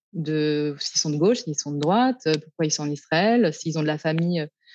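A woman's fairly low, dark and mellow voice at a moderate pace, with ordinary pitch variation, a dry, close sound with no echo and a quiet background. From France, Paris suburbs. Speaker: sociologist and feminist activist. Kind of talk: interview.

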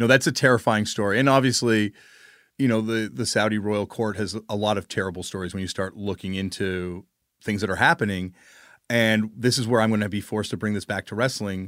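On a very clean recording with a silent background, a man uses an ordinary speaking voice, fairly low in pitch, at a fairly quick pace with fairly even intonation. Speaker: musician and wrestling writer. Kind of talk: casual chat.

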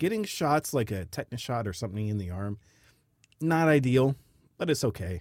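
A man at medium pitch with an American accent, very wide pitch swings, fairly quick pace and long, frequent pauses, on a very clean recording with a silent background. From United States. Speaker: podcast host, expat. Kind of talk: casual chat. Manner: animated.

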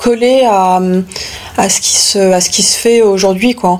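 A woman talks at a fairly slow tempo, with noticeable background noise running behind her. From France, Paris. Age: 30s. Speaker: fashion designer. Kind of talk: interview. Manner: halting, many hesitations.

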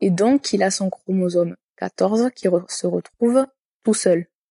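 With a southern French accent, a woman speaks at a very slow pace in a dark, mellow tone at a medium pitch, with ordinary pitch variation and a dry, close sound with no echo. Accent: southern French, sing-song. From southern France. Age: 20s. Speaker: nurse and firefighter. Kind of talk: personal testimony interview.

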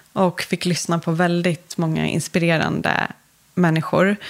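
This is a woman's voice. Her pitch is medium. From Stockholm, Sweden. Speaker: entrepreneur and magazine founder. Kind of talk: interview. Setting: podcast studio.

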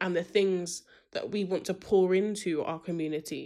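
Someone with a British accent speaks at a fairly slow pace with fairly even intonation. The recording is very clean, with a silent background. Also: woman. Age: 20s. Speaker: student union president. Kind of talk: interview.

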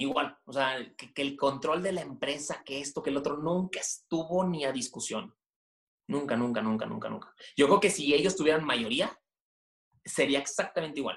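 A man with a fairly high pitch and ordinary pitch variation speaks at a moderate pace. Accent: northern Mexican. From northern Mexico, Monterrey. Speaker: media company director. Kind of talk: interview. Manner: halting, many repeated words.

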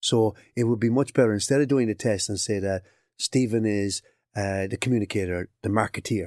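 A man with a Cork accent speaks with fairly even intonation in a very clean recording with a silent background and a dry, close sound with no echo. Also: fairly low pitch for a man, fairly quick pace. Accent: Irish, Cork. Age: 60s. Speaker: occupational psychologist. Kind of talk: interview.

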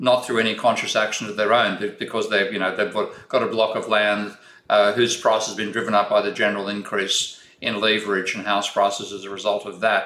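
A man with an Australian accent talks at a fairly quick pace. His fairly low voice has a bright, sharp tone and fairly even intonation. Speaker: economics professor. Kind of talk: interview.

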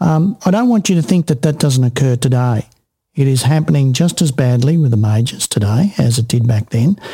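A man with an Australian accent talks at a fairly quick pace in a medium pitch. His voice is somewhat breathy, with lively intonation and very even loudness. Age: 60s. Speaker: podcast host. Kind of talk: interview. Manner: animated.

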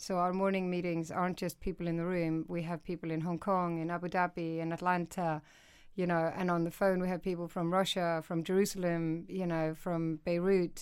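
A woman with an Icelandic accent talks at a fairly quick pace and a fairly low pitch. Her intonation is monotone and flat, in a very clean recording with a silent background. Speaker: news executive editor. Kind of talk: interview.

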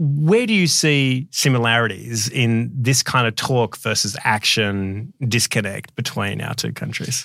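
A man with an Australian accent speaks at a medium pitch with ordinary pitch variation. His pace is fairly slow, with hardly any pauses. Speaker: podcast host. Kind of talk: casual interview.

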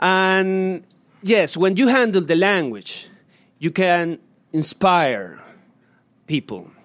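In a very clean recording with a silent background, a man with a Spanish accent and a high pitch for a man speaks at a very slow pace with long, frequent pauses, very even loudness, and ordinary pitch variation. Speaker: human rights activist. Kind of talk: public lecture; Q&A answer. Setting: stage with audience. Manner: halting.

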